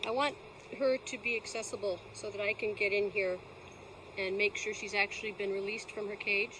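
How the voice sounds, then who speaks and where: Over noticeable background noise, a woman talks fairly quickly at a medium pitch, her intonation fairly even. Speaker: beekeeper. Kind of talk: tutorial. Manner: sometimes slightly slurred speech; casual.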